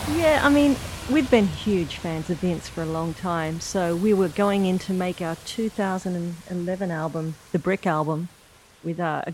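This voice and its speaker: This woman talks in an Australian accent at a moderate pace. Her pitch is fairly low, with ordinary pitch variation. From Coffs Harbour, eastern Australia. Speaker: musician. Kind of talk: casual chat. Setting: at the host's home. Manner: mellow.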